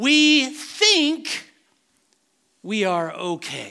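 A man uses a raised, projected voice with a bright, sharp tone. His pitch swings very widely. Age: 50s. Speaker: pastor. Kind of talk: sermon.

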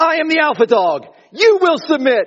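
In a put-on character voice pitched extremely high, a man talks at a moderate pace. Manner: stern, commanding.

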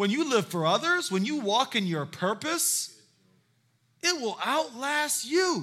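Raising and projecting his voice, a man speaks at a fairly slow pace in an extremely high pitch, with a bright, sharp tone and very wide pitch swings. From South Carolina (Hilton Head), moved from San Diego as a child. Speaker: guest pastor. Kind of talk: sermon. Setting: church with congregation. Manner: animated.

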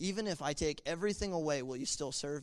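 A normal speaking voice with ordinary pitch variation, captured in a very clean recording against a silent background. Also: man. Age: 20s. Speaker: youth pastor. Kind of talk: testimony. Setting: church.

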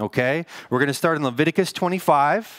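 Dry and close with no echo, this recording has a man with an American accent and an ordinary speaking voice. He moves at a moderate pace with lively intonation. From US Northwest. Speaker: pastor. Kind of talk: sermon. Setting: church.

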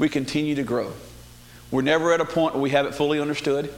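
With a Southern US accent, a man speaks very fast in a fairly high pitch and a flat, monotone delivery, with audible room echo. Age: 50s. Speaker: lay preacher. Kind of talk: sermon. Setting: church.

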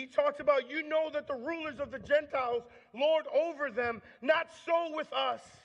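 With an American accent, this speaker has an energetic tone, ordinary pitch variation, and a moderate pace. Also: man. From US Northeast, Long Island, New York. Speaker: campus minister. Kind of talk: sermon. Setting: church.

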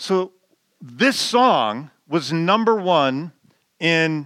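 A man speaks in a bright, sharp tone at a fairly high pitch. His intonation is lively. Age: 50s. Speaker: pastor. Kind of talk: sermon. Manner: halting.

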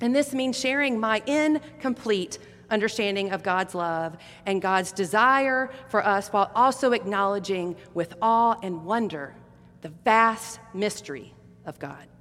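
A woman speaks with an American accent in an unremarkable speaking voice of medium pitch. Her pace is fairly slow and her intonation lively. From US South. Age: middle-aged. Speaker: pastor. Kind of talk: sermon.

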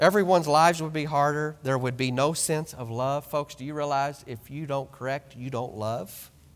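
A man with an American accent speaks at a fairly high pitch and moderate pace. His is an unremarkable speaking voice with ordinary pitch variation. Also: very clean recording, silent background. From rural western US, small ranching town. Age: 30s. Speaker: visiting preacher. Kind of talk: sermon. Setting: church.

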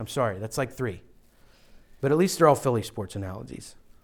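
With an American accent, a man talks at a very fast pace. His pitch swings very widely. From western Pennsylvania, Pittsburgh area. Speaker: pastor. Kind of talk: sermon. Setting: church. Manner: forceful.

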